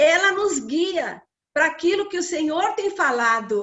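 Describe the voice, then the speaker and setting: A woman at a fairly slow pace. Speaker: women's ministry speaker. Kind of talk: sermon. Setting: livestream.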